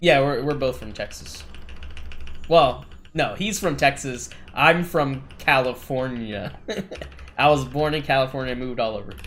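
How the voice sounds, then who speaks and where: An American-accented man at medium pitch and a moderate pace, with ordinary pitch variation, big swings in loudness and long, frequent pauses. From Washington State. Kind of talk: casual chat.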